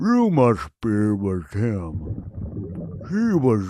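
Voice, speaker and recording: A man puts on a character voice. He speaks at a medium pitch and a very slow pace. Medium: read story. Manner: languid, slow.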